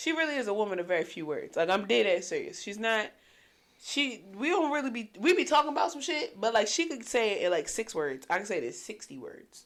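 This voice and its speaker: Loud and animated, a woman talks at a fairly quick pace with a fairly high pitch, vocal fry and very wide pitch swings. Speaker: podcast co-host. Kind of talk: casual chat.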